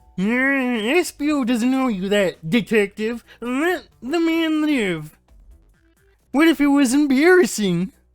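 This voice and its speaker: Faint music sits in the background while a man speaks very slowly in a put-on character voice. His pitch is extremely high and his intonation lively. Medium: game stream. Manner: loud, blustery.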